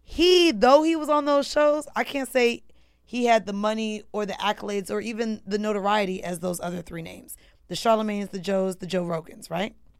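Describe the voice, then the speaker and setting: With an unremarkable speaking voice, a woman talks at a fairly quick pace and fairly high pitch, her intonation lively and her loudness swinging widely. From Orlando, Florida. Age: 30s. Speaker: podcaster and media personality. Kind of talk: casual interview chat.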